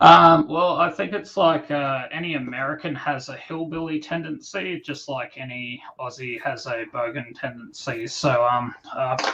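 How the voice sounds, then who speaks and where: Over noticeable background noise, someone with an Australian accent talks at a fairly slow pace with hardly any pauses and ordinary pitch variation. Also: man, fairly high pitch for a man. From Australia, New South Wales (Newcastle, Sydney). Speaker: comic book creator. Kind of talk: podcast interview. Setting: live stream.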